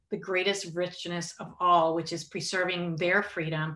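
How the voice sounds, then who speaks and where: A woman speaks at a moderate pace with a Spanish accent. Her pitch sits fairly low. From Puerto Rico. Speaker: human rights advocate. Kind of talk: interview.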